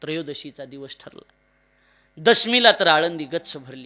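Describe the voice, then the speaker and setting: The man's voice has a bright, sharp tone. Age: 20s. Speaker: kirtan preacher. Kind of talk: devotional sermon (kirtan). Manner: emotional, declamatory.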